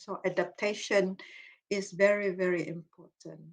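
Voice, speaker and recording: A woman with a Malaysian accent speaks at a fairly slow pace in a medium-pitched voice. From Malaysia, Iban ethnic group. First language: Iban. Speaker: psychology professor, cognitive behaviour therapist. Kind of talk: Q&A session after lecture.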